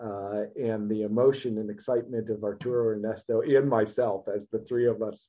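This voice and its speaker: Using a monotone, flat intonation, a man talks with a Midwestern American accent. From US Midwest, Ohio. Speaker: business executive and marathon runner. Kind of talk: interview.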